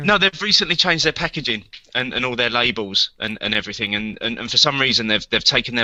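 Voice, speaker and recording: Here is a man at a medium pitch. He has a plain, everyday voice. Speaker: podcast co-host. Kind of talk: casual podcast chat.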